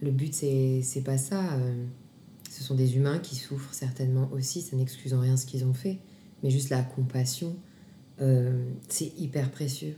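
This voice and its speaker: Her very deep, low pitch and dark, mellow tone come through somewhat breathy as this woman talks at a fairly slow pace, with fairly even intonation and long, frequent pauses. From Grenoble, France. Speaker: actress and singer. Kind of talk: testimony.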